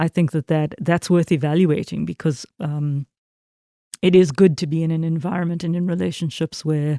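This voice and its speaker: In a South African accent, a woman with a fairly low pitch and a dark, mellow tone speaks at a moderate pace with fairly even intonation, the sound dry and close with no echo. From South Africa, Port Elizabeth. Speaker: minister. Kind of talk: interview. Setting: church. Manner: halting, many fillers.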